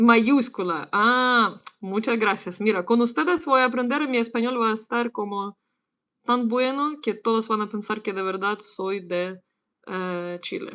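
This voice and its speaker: Speaking at a moderate pace with a bright, sharp tone, a woman with a Ukrainian accent is captured on a very clean recording with a silent background. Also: fairly high pitch for a woman, ordinary pitch variation. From Ukraine. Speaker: English teacher. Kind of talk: livestream language lesson. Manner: casual.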